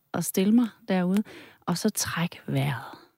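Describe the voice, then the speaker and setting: On a very clean recording with a silent background, a woman of medium pitch speaks at a fairly slow pace with lively intonation. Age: 50s. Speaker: psychotherapist and tantra masseuse. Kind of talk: interview conversation.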